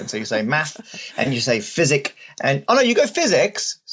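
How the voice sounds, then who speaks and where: A man is speaking. He has an Australian accent. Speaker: mathematician.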